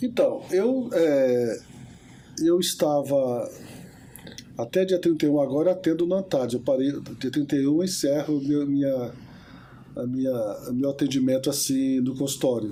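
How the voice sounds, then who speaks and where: The voice has a dark, mellow tone. Long pauses come often. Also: man, fairly high pitch for a man, ordinary pitch variation, moderate pace. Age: 70s. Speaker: therapist. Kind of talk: interview. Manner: hesitant fillers.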